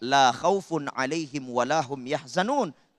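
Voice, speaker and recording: Delivered at a fairly slow pace with a Makassar accent and ordinary pitch variation. The sound is dry and close with no echo, and the recording is very clean over a silent background. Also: man. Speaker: Islamic preacher. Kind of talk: sermon.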